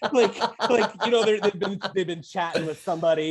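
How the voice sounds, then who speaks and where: A woman against a quiet background. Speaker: podcast guest. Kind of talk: casual chat.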